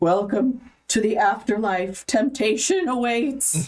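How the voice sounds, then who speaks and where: A woman uses a put-on character voice with a fairly high pitch. She speaks at a fairly slow pace. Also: lively intonation. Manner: solemn, intoning.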